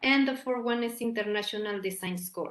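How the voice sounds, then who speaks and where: A woman with a Mexican accent speaks at a high pitch, with ordinary pitch variation. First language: Spanish. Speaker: academic researcher. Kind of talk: conference presentation. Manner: halting, with many repetitions and fillers.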